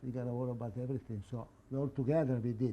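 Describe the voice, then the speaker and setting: A man's somewhat breathy, dark, mellow voice with an Italian accent. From northern Italy. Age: 80s+. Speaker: immigrant and former club president. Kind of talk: interview. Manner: halting.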